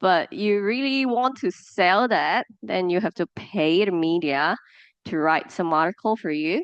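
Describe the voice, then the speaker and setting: A woman with a Cantonese accent, medium in pitch, fairly slow, with lively intonation. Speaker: media professional guest speaker. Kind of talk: lecture. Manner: halting, with fillers and repetitions.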